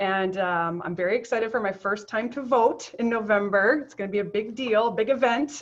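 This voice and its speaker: A woman with a Canadian accent speaks at a moderate pace with hardly any pauses, her pitch fairly high. Her pitch varies in an ordinary way while her loudness swings widely. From Ontario, Canada (Niagara Falls). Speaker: professor and associate dean. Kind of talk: interview.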